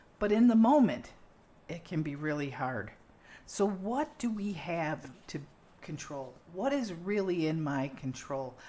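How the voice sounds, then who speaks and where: Amid audible room echo, a woman speaks fairly slowly at a fairly low pitch, her dark, mellow tone moving through very wide pitch swings. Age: 60s. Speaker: podcast host. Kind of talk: casual chat. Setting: kitchen.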